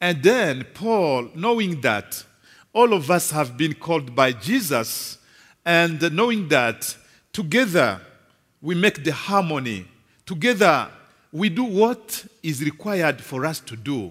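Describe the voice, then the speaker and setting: Very wide pitch swings mark this man's speech, which moves at a very slow pace. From DR Congo. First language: French. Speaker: visiting preacher. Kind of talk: sermon. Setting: church. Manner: halting.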